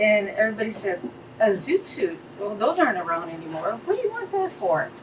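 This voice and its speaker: Over noticeable background noise, a woman with an American accent speaks at a moderate pace and a fairly high pitch. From Fullerton, California. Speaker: business owner. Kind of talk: interview answer.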